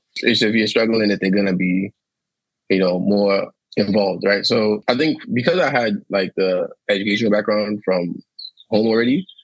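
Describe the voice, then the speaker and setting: A man with an ordinary speaking voice has a fairly low pitch, fairly even intonation and very even loudness. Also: moderate pace. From Nigeria (Ilorin, Kwara), moved to New York as a child. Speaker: immigrant interviewee. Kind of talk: casual interview. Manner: casual, filler-heavy ('like', 'um').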